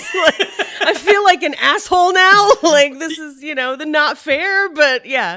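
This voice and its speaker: A woman with an American accent, extremely high in pitch, in a raised, projected voice at a fairly slow pace, with ordinary pitch variation and big swings in loudness. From San Francisco Bay Area, US. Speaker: comedian, roast battler. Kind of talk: casual chat.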